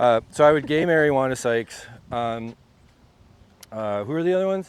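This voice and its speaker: Delivered at a fairly quick pace with lively intonation, this is a normal speaking voice. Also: man, medium pitch for a man. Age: 40s. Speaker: stand-up comedian. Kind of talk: casual chat. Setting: outdoors.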